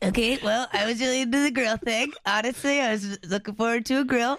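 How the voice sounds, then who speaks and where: This is a put-on character voice with a fairly high pitch. It moves at a fairly quick pace. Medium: actual play.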